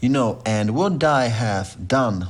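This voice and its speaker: Here a man speaks very slowly at a fairly low pitch. He has a non-native accent. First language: not English. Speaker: music producer. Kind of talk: tutorial. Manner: informal, with hesitations.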